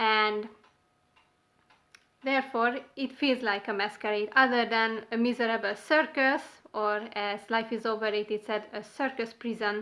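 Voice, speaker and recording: A woman with a non-native accent, fairly even intonation, and a fairly slow pace. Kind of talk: casual talk to camera.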